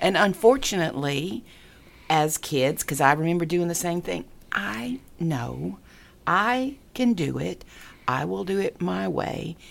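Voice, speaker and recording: A woman talks at a fairly slow pace in a very deep, low voice with vocal fry. Her pitch swings very widely. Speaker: guest. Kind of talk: casual chat.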